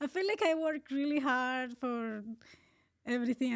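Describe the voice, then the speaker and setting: A woman speaks with a Colombian accent and ordinary pitch variation. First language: Spanish. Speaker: marathon runner. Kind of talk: casual interview. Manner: halting.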